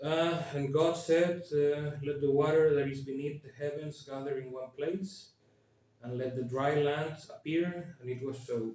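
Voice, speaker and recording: A man with a fairly high pitch speaks at a fairly slow pace with fairly even intonation. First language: Spanish. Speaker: YouTuber. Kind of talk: casual commentary with reading aloud. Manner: hesitant, many fillers.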